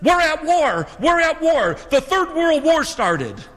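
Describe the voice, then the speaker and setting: A man puts on a character voice at an extremely high pitch. He speaks at a fairly slow pace. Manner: urgent, agitated.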